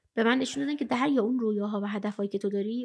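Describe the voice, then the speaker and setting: Speaking at a very fast pace, a woman has a fairly high pitch. Her tone is animated. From Iran. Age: 20s. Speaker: blind poet and traveler; podcast guest. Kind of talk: interview storytelling. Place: studio. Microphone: studio mic.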